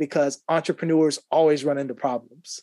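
Against a quiet background, a man with an American accent talks at a fairly quick pace in a dark, mellow tone. The sound is dry and close, with no echo. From Ohio, US. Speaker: author and business coach. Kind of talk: casual interview.

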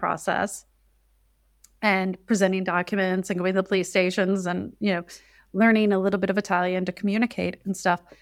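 A woman with an American accent speaks fairly quickly at a medium pitch, her intonation flat and monotone. The recording is very clean, with a silent background. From US Midwest. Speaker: citizenship consultant. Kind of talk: interview.

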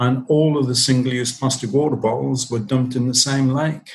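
Somewhat breathy speech at a moderate pace. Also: man. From northeast England. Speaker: company founder and CEO. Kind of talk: interview answers, conversational. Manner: hesitant, repeats words.

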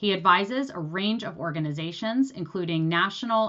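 The speaker has a plain, everyday voice, with ordinary pitch variation at a moderate pace. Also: woman. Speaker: podcast host. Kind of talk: interview.

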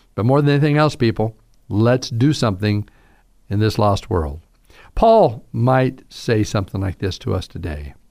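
The speaker has a slight Southern US accent, captured in a very clean recording against a silent background. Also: man, medium pitch for a man, lively intonation. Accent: Southern US drawl, slight. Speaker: pastor. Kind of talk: radio sermon talk. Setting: radio broadcast.

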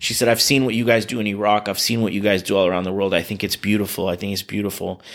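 Talking very fast, a man with an American accent keeps his intonation fairly even. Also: fairly low pitch for a man, hardly any pauses. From US West Coast, California Bay Area. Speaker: charity director and prosecutor. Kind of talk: interview.

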